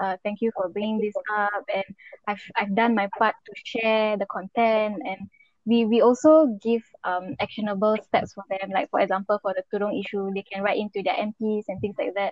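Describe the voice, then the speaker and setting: A woman with a Singaporean accent, fairly even intonation and a moderate pace. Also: medium pitch for a woman. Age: 20s. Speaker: community page founder. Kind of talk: casual interview.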